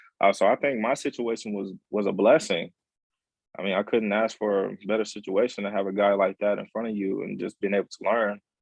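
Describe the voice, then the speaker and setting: A man's voice, fairly quick in pace and fairly even in intonation. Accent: American. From Texas. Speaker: college football player. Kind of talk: interview. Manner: halting, many repetitions.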